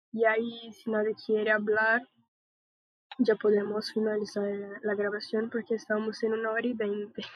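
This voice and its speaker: With a Portuguese accent, a woman speaks in a fairly high pitch and a monotone, flat intonation, leaving long, frequent pauses. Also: moderate pace. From Brazil. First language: Portuguese (speaking Spanish). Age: 20s. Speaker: podcast host. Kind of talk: casual panel discussion.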